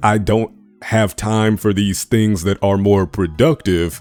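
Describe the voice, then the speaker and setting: A moderate pace with a dry, close sound and no echo. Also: man. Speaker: YouTuber. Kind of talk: casual monologue over gameplay. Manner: unscripted, halting.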